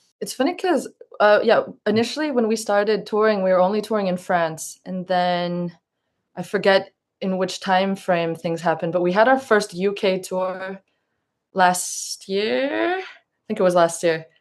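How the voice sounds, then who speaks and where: Against a quiet background, a woman with an American accent speaks in a plain, everyday voice at medium pitch, with ordinary pitch variation and a moderate pace. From US. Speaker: indie band drummer and singer. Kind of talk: interview.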